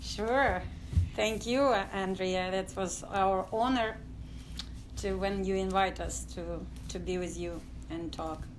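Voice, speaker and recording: A woman speaks at a very slow pace with long, frequent pauses amid audible room echo. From Ukraine, village near Odessa. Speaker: dance company artistic director. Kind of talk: interview testimony. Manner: halting, many fillers.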